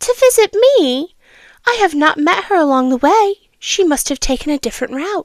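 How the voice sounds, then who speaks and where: Putting on a squeaky character voice, a woman speaks at an extremely high pitch with very wide pitch swings and a moderate pace. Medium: read story. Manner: wheedling, falsely sweet.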